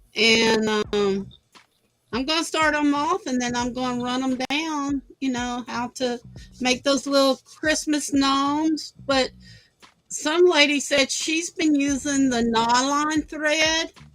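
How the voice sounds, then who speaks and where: A woman's high voice at a very slow pace, with music in the background. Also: ordinary pitch variation. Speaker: craft livestream host. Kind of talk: casual chat.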